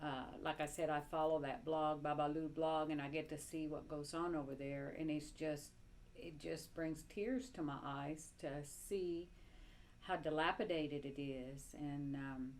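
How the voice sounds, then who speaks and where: Through audible room echo, a woman with a very deep, low pitch talks at a fairly slow pace with ordinary pitch variation. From Cuba, Havana. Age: 70s. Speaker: interviewee recounting life under communism. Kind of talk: personal testimony interview. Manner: halting, many fillers.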